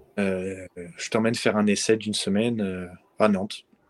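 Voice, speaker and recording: Fairly slow, fairly low speech from a man, with a dry, close sound and no echo. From France. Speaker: professional footballer. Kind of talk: interview.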